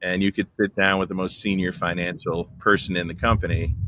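Noticeable background noise surrounds a speaker with an American accent. The delivery is monotone and flat at a moderate pace. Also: man. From Texas. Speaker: marketing executive. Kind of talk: interview conversation.

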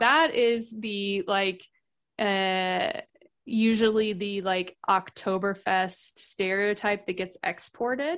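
With an American accent, a woman at a medium pitch speaks at a very slow pace with ordinary pitch variation over a quiet background. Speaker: podcast guest, expat. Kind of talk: casual chat.

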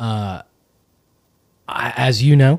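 A man is speaking. The recording is very clean with a silent background and a dry, close sound with no echo. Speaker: podcast host. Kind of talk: casual comedic banter interview.

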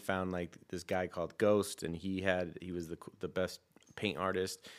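At a fairly slow pace, the speaker talks in an American accent on a very clean recording with a silent background. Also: man. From US West Coast, San Francisco. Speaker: custom sneaker designer. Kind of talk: casual interview.

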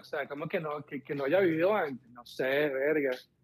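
A man speaks with ordinary pitch variation. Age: 40s. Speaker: caller looking for a partner. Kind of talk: casual chat.

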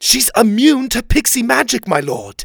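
A man puts on a character voice at an extremely high pitch, with big pitch swings and vocal fry. He talks at a moderate pace with a slightly husky edge.

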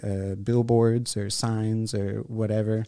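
This man's voice is medium in pitch with a dark, mellow tone and a Texan accent. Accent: Texan American. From Houston, Texas (southeast side). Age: 30s. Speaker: visual artist. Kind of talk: casual chat. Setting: studio.

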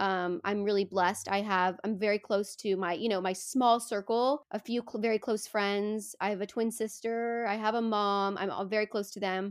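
A woman speaks in a normal speaking voice at medium pitch and a moderate pace. Her intonation is fairly even, and the recording is very clean with a silent background. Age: 20s. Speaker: podcaster and wellness startup founding member. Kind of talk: casual interview.

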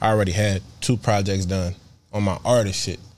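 A man's fairly low pitch at a moderate pace. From Philadelphia. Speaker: singer-songwriter and producer. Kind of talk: casual interview. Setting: studio. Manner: laid-back, slang-heavy.

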